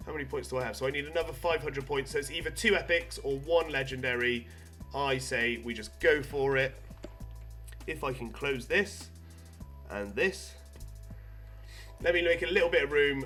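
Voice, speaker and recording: A man's voice broken by long, frequent pauses, with music playing in the background. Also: moderate pace. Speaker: gaming YouTuber. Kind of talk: casual gameplay commentary.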